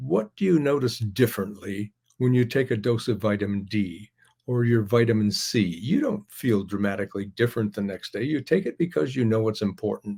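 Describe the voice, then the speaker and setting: Somewhat breathy, a man speaks in a dark, mellow tone at medium pitch. He keeps a fairly quick pace with ordinary pitch variation. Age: 80s+. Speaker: pharmacist and author. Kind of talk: interview. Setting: podcast. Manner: halting.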